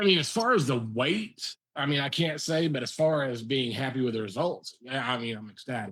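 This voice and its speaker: Speaking with hardly any pauses, a man in an ordinary speaking voice keeps a medium pitch, a fairly quick pace and lively intonation. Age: 50s. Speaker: fellow faster, video blogger. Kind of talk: casual chat.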